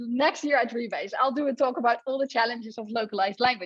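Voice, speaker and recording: Against a quiet background, a woman with a Dutch accent talks at a fairly quick pace and a high pitch. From Netherlands. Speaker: computer science professor. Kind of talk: conference talk. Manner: animated.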